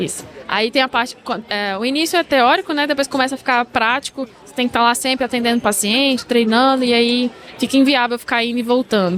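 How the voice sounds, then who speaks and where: A woman's high voice at a fairly quick pace, loudness swinging widely, pitch varying in an ordinary way. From Brazil, interior of Goiás. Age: 20s. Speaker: dentist. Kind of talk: casual interview.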